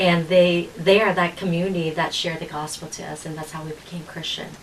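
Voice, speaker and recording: Against noticeable background noise, a woman speaks with a Vietnamese accent in a monotone, flat intonation. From Vietnam, raised in California. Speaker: political candidate. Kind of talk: interview.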